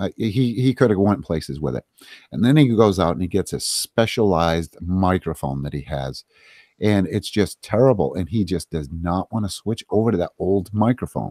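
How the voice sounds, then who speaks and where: A man with a very deep, low pitch, a dark, mellow tone, vocal fry and lively intonation talks at a moderate pace in a very clean recording with a silent background and a dry, close sound with no echo. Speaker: streamer. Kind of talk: casual chat.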